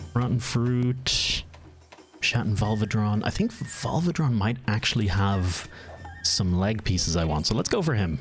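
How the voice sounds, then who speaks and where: A man with a slight Irish accent, fairly low pitch, lively intonation, a fairly slow pace and very even loudness. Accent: mild Irish. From Ireland. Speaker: gaming streamer. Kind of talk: live gameplay stream chat.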